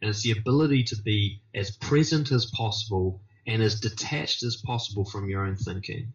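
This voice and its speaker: A somewhat breathy man talks at a fairly quick pace with hardly any pauses. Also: fairly low pitch for a man, ordinary pitch variation. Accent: New Zealand. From New Zealand. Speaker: confidence coach. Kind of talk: interview answer.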